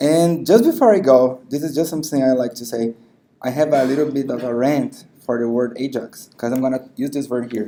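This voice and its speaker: In a Brazilian accent, a man talks at a fairly quick pace with a medium pitch, ordinary pitch variation and a dark, mellow tone. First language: Portuguese. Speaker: software tech lead, conference speaker. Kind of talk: tech talk. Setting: meetup stage with audience.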